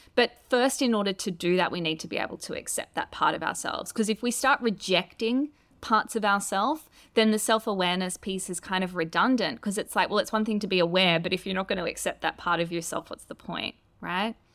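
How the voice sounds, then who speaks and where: A woman with an Australian accent at medium pitch, ordinary pitch variation and a fairly quick pace, in a very clean recording with a silent background. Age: 30s. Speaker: author and astrologer. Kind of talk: interview conversation.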